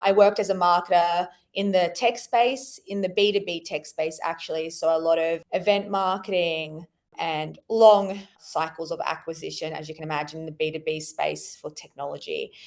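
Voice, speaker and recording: A woman with an Australian accent speaks at a moderate pace and a fairly low pitch. Her pitch variation is ordinary, while her loudness swings widely. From Australia, Sydney. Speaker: marketing executive. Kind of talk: podcast interview.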